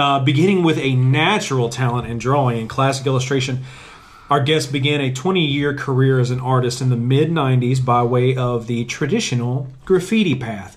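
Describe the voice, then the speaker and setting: Over noticeable background noise, a man speaks at a moderate pace and medium pitch with ordinary pitch variation. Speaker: podcast host. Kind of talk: reading aloud; casual chat. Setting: sitting on a bench. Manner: starts big and robust, fades to normal.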